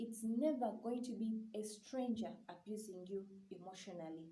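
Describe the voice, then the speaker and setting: A woman's somewhat breathy, fairly high voice with a dark, mellow tone and a Ugandan accent, ordinary pitch variation, and audible room echo. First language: Luganda. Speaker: YouTuber on mental health. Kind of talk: vlog talk to camera.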